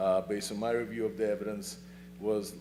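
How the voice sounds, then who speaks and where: At a fairly quick pace, a man with a non-native accent speaks in a fairly low pitch. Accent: foreign. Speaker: attorney. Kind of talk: public comment at town meeting. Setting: town planning commission meeting. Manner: fast; halting.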